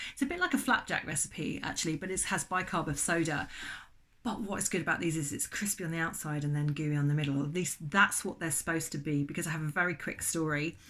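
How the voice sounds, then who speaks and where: A woman talks very fast in an English accent, her pitch fairly low with ordinary variation. Her tone is bright and sharp. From England. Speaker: baking channel host. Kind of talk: casual vlog chat. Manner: halting.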